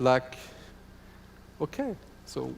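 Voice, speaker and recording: A man talks with a French accent. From France. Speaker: football association executive. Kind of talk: conference presentation. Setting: conference hall.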